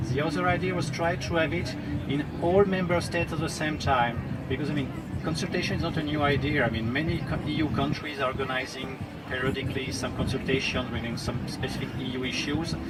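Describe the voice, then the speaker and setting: A man with a French accent talks very fast at a fairly high pitch. Audible room echo and noticeable background noise surround his voice. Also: ordinary pitch variation. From France. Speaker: diplomat. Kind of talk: talk at a public discussion. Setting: outdoor festival stage with audience. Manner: hesitant, with fillers.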